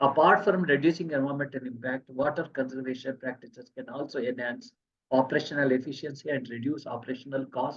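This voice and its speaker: A very fast, somewhat breathy delivery. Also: man. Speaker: engineering expert giving technical talk. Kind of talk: technical presentation.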